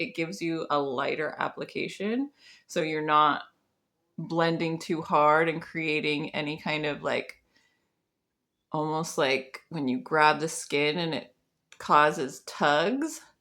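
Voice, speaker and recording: A quiet woman's voice, fairly low yet bright and sharp, relaxed in tone, very slow, with ordinary pitch variation. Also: very clean recording, silent background. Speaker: makeup artist. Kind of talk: tutorial. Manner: casual, relaxed.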